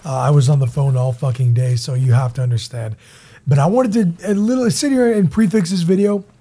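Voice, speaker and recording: Somewhat breathy and dark, mellow in tone, a man with a fairly high pitch speaks at a fairly quick pace with very wide pitch swings. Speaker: gaming YouTuber. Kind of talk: gaming commentary video. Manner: casual, energetic.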